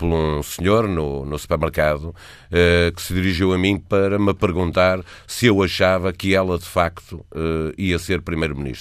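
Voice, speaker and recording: The recording is very clean, with a silent background. The speech moves at a moderate pace with fairly even intonation. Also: man. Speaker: political commentator, newspaper editor. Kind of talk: political analysis on radio. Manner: halting, many fillers.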